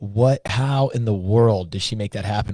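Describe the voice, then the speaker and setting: This man has a medium pitch, ordinary pitch variation and a dark, mellow tone. He is somewhat breathy and keeps a moderate pace. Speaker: podcast host. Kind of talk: podcast interview.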